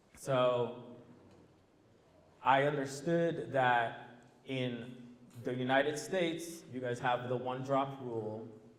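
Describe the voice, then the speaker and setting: Speaking very slowly with long, frequent pauses, a man at medium pitch keeps his intonation fairly even, and the room echo is audible. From Brazil. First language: Portuguese. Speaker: former teacher, panelist. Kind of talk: panel discussion.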